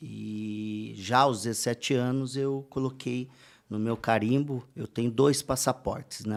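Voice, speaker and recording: This man has an unremarkable speaking voice at a medium pitch, with fairly even intonation on a very clean recording against a silent background. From interior of São Paulo state, Brazil. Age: 40s. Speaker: entrepreneur and speaker. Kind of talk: podcast interview. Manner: casual, with frequent fillers.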